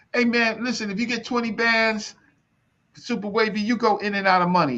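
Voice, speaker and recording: This man's voice is high-pitched, bright and sharp. He talks at a fairly quick pace in an animated tone. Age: 60s. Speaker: elder discussing African history and reparations. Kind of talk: heated debate.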